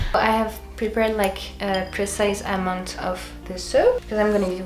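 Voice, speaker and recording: With a French accent, a woman talks at a fairly slow pace amid noticeable background noise and audible room echo. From France. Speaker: DIY video creator. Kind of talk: tutorial. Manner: halting, searching for English words; casual.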